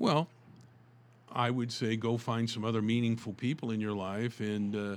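Speaking at a moderate pace with an American accent, a man at a medium pitch uses fairly even intonation in an unremarkable speaking voice. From US South, Tulsa, Oklahoma. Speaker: author and motivational speaker. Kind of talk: interview.

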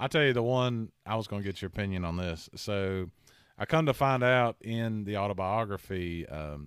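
A man's lively intonation in a normal speaking voice at a moderate pace, on a very clean recording with a silent background. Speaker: podcast host. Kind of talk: casual chat.

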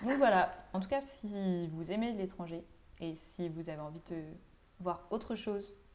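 The voice is a normal speaking voice, moving at a moderate pace with ordinary pitch variation. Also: woman. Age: 20s. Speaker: law student, podcast co-host. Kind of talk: casual chat.

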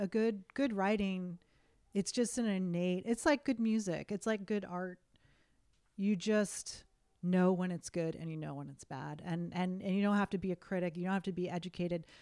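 A woman speaks with an unremarkable speaking voice. Her pace is moderate and her pitch variation ordinary. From US Northeast, western Massachusetts. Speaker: author and filmmaker. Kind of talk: casual chat.

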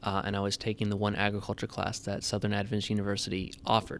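An American accent comes through. Behind it, the background is silent on a very clean recording. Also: man. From Tennessee, US South. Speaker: farm manager and agriculture teacher. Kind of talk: podcast interview.

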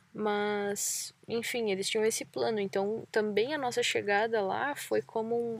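Recorded very cleanly against a silent background, a woman speaks at a moderate pace. Her pitch is fairly high and her intonation fairly even. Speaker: travel podcast host, cyclist. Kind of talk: casual chat. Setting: outdoors by a lake.

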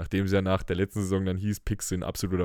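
The tone is dark and mellow, and the recording is very clean with a silent background. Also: man. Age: 20s. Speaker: podcast host. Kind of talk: casual chat. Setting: studio.

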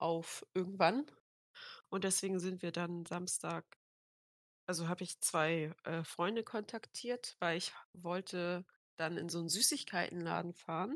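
A woman speaks fairly slowly in a fairly low pitch, with long, frequent pauses and ordinary pitch variation. The recording is very clean, with a silent background and a dry, close sound with no echo. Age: 18. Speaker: podcast co-host. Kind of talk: casual chat.

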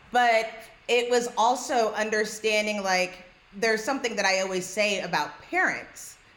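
With noticeable background noise behind her, a woman speaks at a fairly slow pace in a fairly high voice. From New York. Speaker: podcast host. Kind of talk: podcast conversation.

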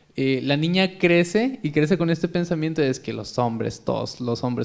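In a normal speaking voice, a man talks at a moderate pace with fairly high pitch and ordinary pitch variation. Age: 20s. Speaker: podcast host. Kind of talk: casual chat.

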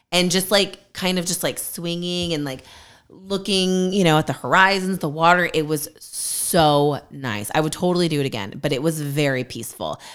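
A woman speaks with a fairly low pitch at a moderate pace. She has a plain, everyday voice with ordinary pitch variation. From California, Bay Area. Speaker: podcast co-host. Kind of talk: casual chat.

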